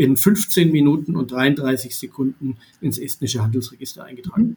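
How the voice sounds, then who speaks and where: Fairly high-pitched and somewhat breathy, the voice of a man. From Baden-Württemberg, southwest Germany. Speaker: entrepreneur. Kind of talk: podcast interview. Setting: remote recording.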